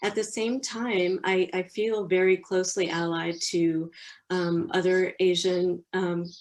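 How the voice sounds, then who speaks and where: It is an ordinary speaking voice with fairly even intonation. The pace is fairly slow. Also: woman, medium pitch for a woman. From US. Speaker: publishing professional. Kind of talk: interview.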